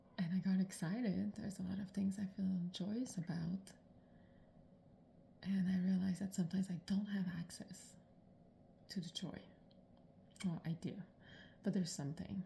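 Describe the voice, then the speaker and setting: Quiet speech at a moderate pace, with long, frequent pauses. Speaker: personal vlogger on eating disorder recovery. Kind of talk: personal video diary monologue. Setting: at home in the morning. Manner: quiet, subdued.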